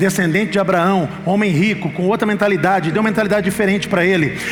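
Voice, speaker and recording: The recording has audible room echo and music playing in the background. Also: man. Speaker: pastor. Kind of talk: sermon. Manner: fast; animated.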